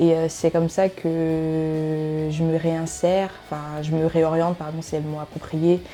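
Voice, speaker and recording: With music in the background, a woman speaks very slowly with hardly any pauses in a very deep, low, monotone, flat voice. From Cameroon. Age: 20s. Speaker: student. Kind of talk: interview. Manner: hesitant, many filler euh.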